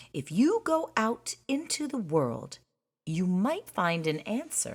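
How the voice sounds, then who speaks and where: This put-on character voice sits fairly high in pitch, swings very widely in pitch and moves at a fairly slow pace. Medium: read story. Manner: gentle.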